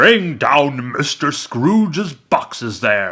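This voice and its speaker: Using a put-on character voice, a man speaks at a very slow pace while his pitch swings very widely. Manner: booming, terrible.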